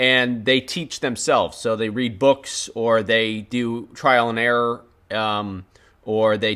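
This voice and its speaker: A man with a medium pitch and a bright, sharp tone speaks at a very slow pace. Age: 30s. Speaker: YouTube filmmaker and creator. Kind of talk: live stream Q&A chat.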